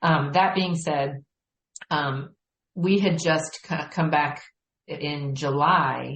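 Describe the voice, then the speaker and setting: Speaking very slowly with long, frequent pauses, a woman has a very deep, low voice. It is somewhat breathy, and her intonation is fairly even. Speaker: marketing and sales director, podcast guest. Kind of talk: casual interview.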